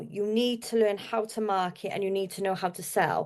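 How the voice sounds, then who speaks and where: A woman speaks at medium pitch with a Welsh accent. She keeps a moderate pace against a quiet background. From South Wales. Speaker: marketer. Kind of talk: podcast interview.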